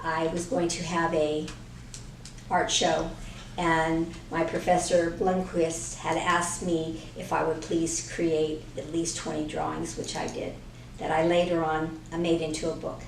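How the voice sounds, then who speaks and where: Someone speaks with an American accent and flat, monotone intonation. Noticeable background noise and audible room echo are present. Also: woman, fairly low pitch for a woman. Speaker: artist and author. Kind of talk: interview.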